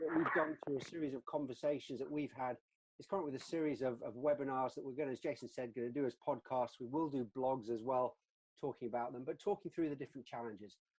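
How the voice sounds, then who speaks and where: A man talks at a very fast pace with a British accent, in a medium pitch with ordinary pitch variation. The sound is dry and close, with no echo. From UK. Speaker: customer success leader, webinar co-host. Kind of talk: webinar discussion. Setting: online webinar. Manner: repetitive false starts.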